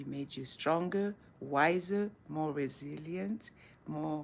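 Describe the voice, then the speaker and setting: A woman talks at a very slow pace with a very deep, low pitch. Her intonation is lively. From Senegal. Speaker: motivational speaker. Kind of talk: casual live chat to camera. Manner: warm, encouraging.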